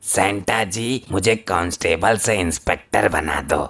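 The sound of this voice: A man puts on a cartoonish character voice, fairly low in pitch with ordinary pitch variation. He talks at a fairly slow pace.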